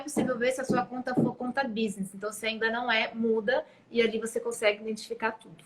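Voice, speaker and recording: Intonation is fairly even. The delivery comes at a fairly quick pace. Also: woman. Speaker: social media marketer. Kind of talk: live stream chat. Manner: fast.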